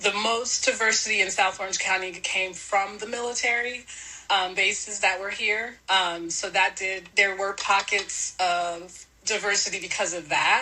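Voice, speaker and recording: Over noticeable background noise, a woman with an American accent speaks at medium pitch with fairly even intonation. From US West Coast, San Diego. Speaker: mother, podcast guest. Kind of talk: podcast interview.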